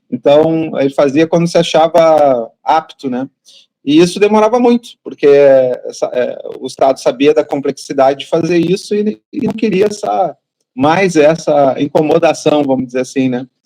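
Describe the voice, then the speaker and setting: A man's fairly high, dark and mellow voice with a southern Brazilian accent, lively intonation and a moderate pace, in a dry, close sound with no echo. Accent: gaúcho. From southern Brazil, Rio Grande do Sul. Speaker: patient advocate, parent of child with rare disease. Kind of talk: interview.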